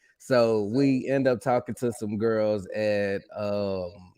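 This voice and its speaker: Against a quiet background, a man with a fairly low pitch talks in an Arkansas accent with fairly even intonation. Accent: Southern US (Arkansas). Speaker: podcast co-host. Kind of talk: casual chat.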